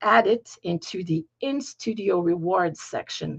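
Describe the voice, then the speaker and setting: With a French accent and vocal fry, a woman speaks in very wide pitch swings, and the sound is dry and close with no echo. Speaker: piano teacher. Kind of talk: tutorial. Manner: halting, searching for words.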